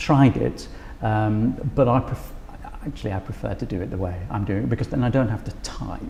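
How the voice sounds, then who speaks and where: The man's fairly low voice comes at a moderate pace, with noticeable background noise behind it. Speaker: music lecturer. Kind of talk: interview about teaching practice. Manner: halting with fillers.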